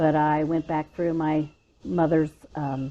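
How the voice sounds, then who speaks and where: A woman with an American accent talks at a fairly slow pace in a very deep, low pitch with a dark, mellow tone. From Florida, Orlando and Tampa Bay area. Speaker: interview guest. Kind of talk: casual interview. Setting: porch.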